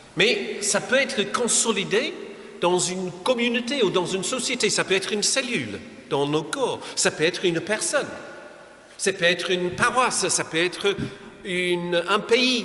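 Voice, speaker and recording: A man with an English accent projects a raised voice at a high pitch and a fairly slow pace, with ordinary pitch variation. Noticeable background noise and audible room echo surround him. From England. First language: English (speaking French). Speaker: pastor. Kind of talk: lecture. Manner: halting.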